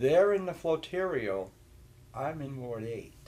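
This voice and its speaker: Audible room echo surrounds a man whose fairly high voice makes very wide pitch swings at a fairly slow pace. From New Hampshire. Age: 60s. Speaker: talk show host and state representative. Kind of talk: casual chat. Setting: church.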